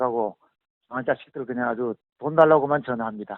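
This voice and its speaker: A man talks at a fairly quick pace. His medium-pitched voice has fairly even intonation. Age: 60s. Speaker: amateur marathon runner. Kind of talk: interview.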